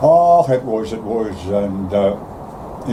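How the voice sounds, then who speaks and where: Noticeable background noise runs under a man's voice. He speaks in a fairly low pitch with lively intonation. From Belfast, Northern Ireland. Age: 80s+. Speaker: retired shipyard worker. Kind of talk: interview answer.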